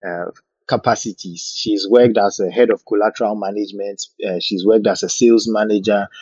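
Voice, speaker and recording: The man's voice is fairly low in pitch, with monotone, flat intonation. He moves at a fairly quick pace. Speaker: podcast host. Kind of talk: casual chat. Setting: live audio room online.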